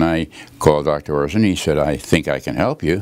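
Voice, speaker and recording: A man speaks with a very deep, low pitch and ordinary pitch variation over noticeable background noise. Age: 80s+. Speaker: chiropractic patient. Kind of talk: testimonial. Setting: chiropractor's office. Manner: halting.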